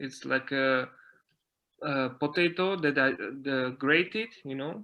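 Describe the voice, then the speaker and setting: A man with a Slovak accent speaks at a fairly high pitch with ordinary pitch variation. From Slovakia, mountain area. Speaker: dancer and dance teacher. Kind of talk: interview. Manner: halting, many fillers and repetitions.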